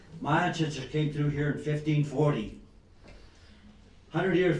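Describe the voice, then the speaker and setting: Fairly high-pitched male speech at a fairly quick pace, with audible room echo and noticeable background noise. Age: 80s+. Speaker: business owner speaking at public comment. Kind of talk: public comment at council meeting. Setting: city council chamber.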